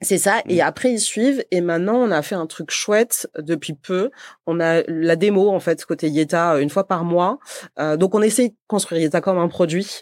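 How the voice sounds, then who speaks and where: On a very clean recording with a silent background, a woman speaks at a moderate pace and fairly low pitch. The sound is dry and close with no echo, and her pitch variation is ordinary. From southern France, Montpellier. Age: 30s. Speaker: company co-founder and CEO. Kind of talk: podcast interview.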